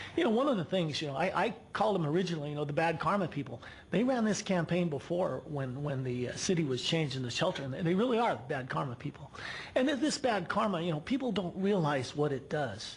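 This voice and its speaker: A man with a high voice talks at a very fast pace, his pitch swinging very widely, with audible echo from the room. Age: 60s. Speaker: local resident speaking at public comment. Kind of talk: public comment at city council. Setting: city council meeting. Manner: halting, many repeated words.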